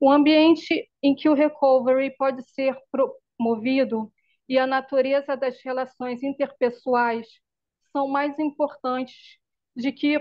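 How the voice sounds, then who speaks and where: A woman speaks at a high pitch and a very slow pace. Her intonation is monotone and flat. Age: 40s. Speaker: mental health service user presenting in study group. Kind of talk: reading aloud a prepared summary.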